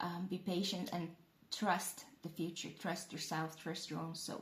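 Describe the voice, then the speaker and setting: A woman's somewhat breathy voice at a fairly slow pace. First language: not English. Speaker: tarot reader. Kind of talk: tarot reading. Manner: halting; casual.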